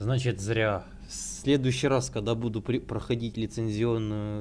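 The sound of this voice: A man with a fairly low voice. His tone is slightly mellow.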